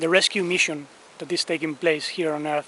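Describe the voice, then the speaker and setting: A man with a Spanish accent talks in a flat monotone at a fairly high pitch. Noticeable background noise runs behind him. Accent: non-native English, noticeable Spanish. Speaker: spiritual teacher. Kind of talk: spiritual talk. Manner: careful, deliberate pronunciation.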